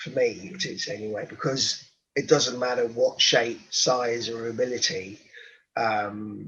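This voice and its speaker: A man at medium pitch with a London accent, at a fairly slow pace, with ordinary pitch variation and big swings in loudness. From London, England. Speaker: rugby coach and social entrepreneur. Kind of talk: interview. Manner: halting.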